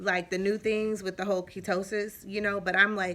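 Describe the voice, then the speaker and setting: Bright and sharp in tone, a woman speaks at a medium pitch and a moderate pace. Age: 30s. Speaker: vlogger. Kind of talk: casual vlog update. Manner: casual, filler-heavy.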